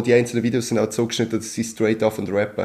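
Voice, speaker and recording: Monotone, flat intonation marks this man's speech. His pitch sits in the medium range. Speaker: podcast host. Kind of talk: casual chat.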